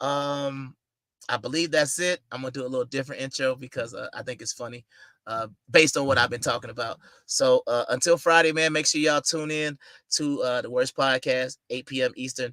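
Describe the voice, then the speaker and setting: A man talks in an ordinary speaking voice, medium in pitch, with fairly even intonation. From United States. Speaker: YouTube commentator. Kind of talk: livestream monologue. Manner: casual.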